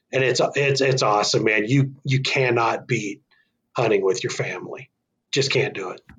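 A man with an American accent speaks in a normal speaking voice at medium pitch. His pace is moderate and his intonation fairly even. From northern Arizona. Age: 40s. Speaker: bowhunter and hunting association volunteer. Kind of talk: casual interview chat.

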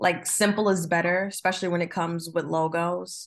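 The speaker has an American accent and a moderate pace. The background is quiet. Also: woman. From New Jersey. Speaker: marketing professional and designer. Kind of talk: interview. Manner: casual, with frequent fillers.

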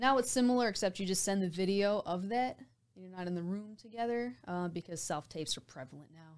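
Hers is an unremarkable speaking voice with a medium pitch and lively intonation, moving at a fairly quick pace with big swings in loudness. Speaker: voiceover artist and actor. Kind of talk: casual interview chat. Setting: studio.

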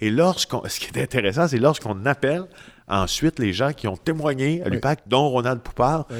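A man's unremarkable speaking voice at medium pitch, moderate pace and lively intonation, dry and close with no echo. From Quebec, Témiscamingue. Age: 40s. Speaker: investigative journalist. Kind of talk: interview.

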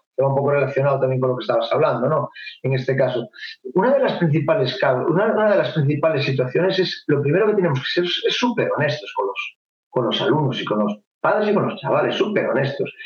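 A man speaks at a very fast pace with a Galician accent. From Spain (Galicia). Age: 40s. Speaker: taekwondo instructor. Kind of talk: casual chat. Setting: video call.

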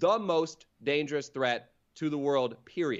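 A man's unremarkable speaking voice, fairly high in pitch, at a fairly slow pace. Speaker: comedian. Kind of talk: casual chat.

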